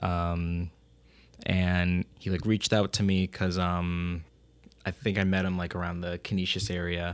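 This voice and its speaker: A man speaks at a fairly slow pace in a very deep, low voice with monotone, flat intonation. The recording is very clean, with a silent background. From US Northeast, Rochester, New York. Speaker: rapper. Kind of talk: interview.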